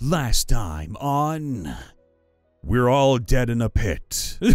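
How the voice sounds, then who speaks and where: A man speaks in a put-on character voice at medium pitch and a very slow pace, with faint music in the background. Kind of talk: trailer-style. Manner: dramatic.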